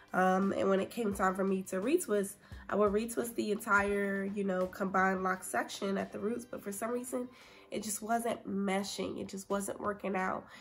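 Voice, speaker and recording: Over music in the background, a woman speaks in a relaxed tone at a moderate pace with fairly even intonation. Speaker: hair care vlogger. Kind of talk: casual talk to camera. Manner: chatty, relaxed. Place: home room. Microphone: phone near.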